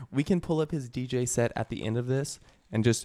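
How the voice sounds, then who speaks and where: A man talks at a moderate pace in a plain, everyday voice with a medium pitch. The recording is very clean, with a silent background. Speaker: podcast host. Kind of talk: casual banter.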